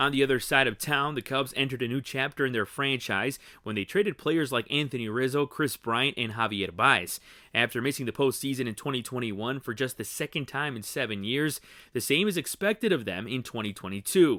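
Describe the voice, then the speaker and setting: Here is a man with a plain, everyday voice at medium pitch. He moves at a fairly quick pace with ordinary pitch variation. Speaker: sports reporter. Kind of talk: TV newscast read.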